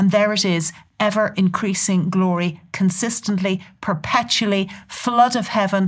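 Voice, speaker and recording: In a southern Irish accent, a woman speaks at a fairly slow pace. Her medium-pitched voice is somewhat breathy, with fairly even intonation. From Southern Ireland, near Dublin. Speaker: church leader and prophetic speaker. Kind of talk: casual chat about scripture. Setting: studio.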